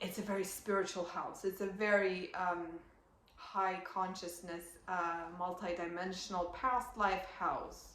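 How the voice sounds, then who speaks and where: A woman's medium-pitched voice with a non-native accent, monotone and flat, at a fairly slow pace, with audible room echo and noticeable background noise. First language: not English. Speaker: astrologer. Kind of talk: astrology reading monologue. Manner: hesitant, many fillers.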